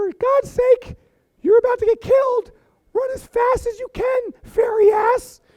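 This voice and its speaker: Moderate pace in a put-on character voice. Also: man, extremely high pitch for a man. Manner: frantic.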